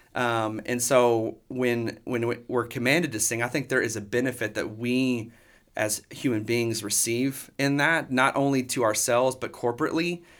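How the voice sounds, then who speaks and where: A man at medium pitch, with a Texan accent, fairly even intonation and a moderate pace, on a very clean recording with a silent background. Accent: Texan American. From Texas, Dallas area. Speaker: worship pastor. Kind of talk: casual interview.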